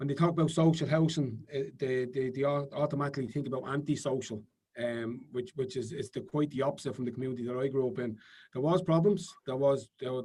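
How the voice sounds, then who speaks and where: This man talks fairly quickly at a medium pitch with a dark, mellow tone. His intonation stays fairly even. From Ireland, Dublin (working-class west Dublin). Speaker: politician. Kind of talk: interview.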